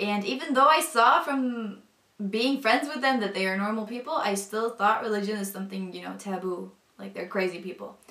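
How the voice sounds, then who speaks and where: Speaking at a moderate pace with a Northern European accent, a woman uses a fairly high pitch, ordinary pitch variation and big swings in loudness. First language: not English; language of a former Soviet country. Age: 20s. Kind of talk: personal testimony. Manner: casual, hesitant with many fillers.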